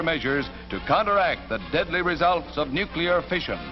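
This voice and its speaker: Over music in the background, a man speaks in a dramatic tone at a high pitch with lively intonation. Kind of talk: newsreel narration.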